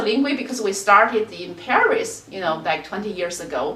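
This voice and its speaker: A woman with a Chinese accent, noticeable background noise, and audible room echo. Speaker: qigong teacher. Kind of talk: interview. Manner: hesitant, many fillers.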